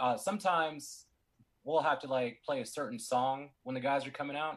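Using a plain, everyday voice, a man talks at a fairly slow pace with lively intonation. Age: 30s. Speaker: DJ. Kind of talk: casual interview.

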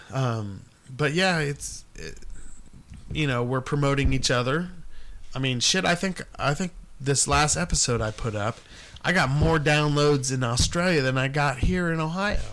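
Here is an ordinary speaking voice from a man at a fairly high pitch. He keeps a moderate pace with ordinary pitch variation. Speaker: podcast host. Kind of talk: casual chat.

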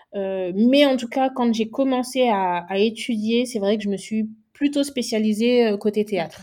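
At a fairly slow pace, a woman speaks with a dark, mellow tone and a fairly high pitch. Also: ordinary pitch variation. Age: 20s. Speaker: make-up artist. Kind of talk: interview.

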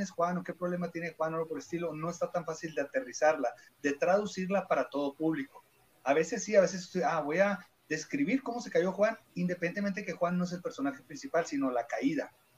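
Ordinary pitch variation at a fairly quick pace. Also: man. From Caborca, Sonora, Mexico. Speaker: stand-up comedian. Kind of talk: casual chat, stand-up joke.

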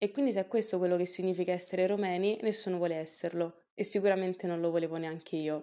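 Talking at a very fast pace, a woman has a dark, mellow tone and fairly even intonation. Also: medium pitch for a woman. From Italy. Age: 20s. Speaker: podcast guest sharing personal story. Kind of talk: personal testimony.

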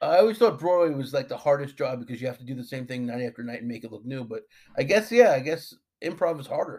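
A man with an American accent talks at a very fast pace, his fairly high voice moving in lively intonation while his loudness swings widely. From Long Island, New York. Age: 40s. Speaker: podcast host. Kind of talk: casual interview.

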